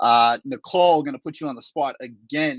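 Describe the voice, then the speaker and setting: Recorded dry and close with no echo, a man with an American accent talks fairly quickly in a fairly high voice. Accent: Boston accent, trying to lose it. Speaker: event host, landscaping company owner. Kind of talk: moderating panel discussion.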